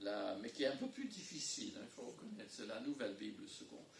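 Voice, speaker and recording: A man talks at a fairly quick pace. Room echo can be heard. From English-speaking country. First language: English (speaking French). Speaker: pastor. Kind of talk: sermon. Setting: church. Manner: halting.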